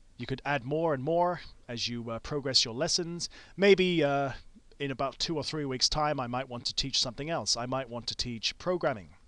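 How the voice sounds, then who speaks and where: Against a quiet background, a man with a fairly high pitch and ordinary pitch variation speaks at a moderate pace. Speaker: teacher. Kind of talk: tutorial. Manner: hesitant with fillers.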